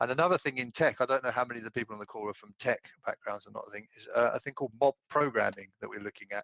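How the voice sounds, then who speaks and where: A man talking at a very fast pace in a British accent, medium in pitch with ordinary pitch variation, bright and sharp in tone, in a dry, close recording with no echo. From UK. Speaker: audience member asking a question. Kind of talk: webinar Q&A question. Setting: video call webinar. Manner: halting, many fillers.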